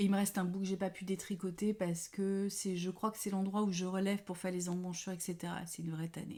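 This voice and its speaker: At a very fast pace, a woman speaks with a dark, mellow tone at a medium pitch and monotone, flat intonation. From France, Paris. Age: 50s. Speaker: knitting podcaster. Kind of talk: casual chat. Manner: hesitant, many fillers.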